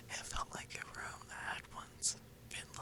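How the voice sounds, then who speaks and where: Someone whispers at a fairly slow pace, with noticeable background noise behind. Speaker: ASMR creator. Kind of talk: sleep story reading. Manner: soft-spoken.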